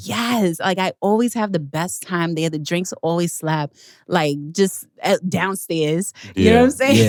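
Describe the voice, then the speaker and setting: In an ordinary speaking voice, a woman with a fairly low pitch talks at a fairly slow pace with lively intonation. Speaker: podcast host. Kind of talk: casual podcast conversation.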